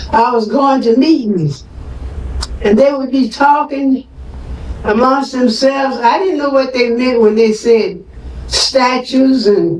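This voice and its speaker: A woman with a high-pitched voice speaks at a fairly slow pace with ordinary pitch variation over noticeable background noise. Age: 90s. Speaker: activist mother of an incarcerated man. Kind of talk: speech at a community forum.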